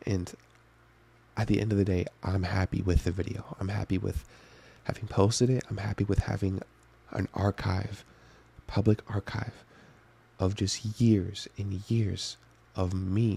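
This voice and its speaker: A man's fairly low, dark, mellow voice, somewhat breathy and monotone, fairly slow with long, frequent pauses, the sound dry and close with no echo. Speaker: youtuber. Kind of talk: video diary monologue. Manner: soft-spoken.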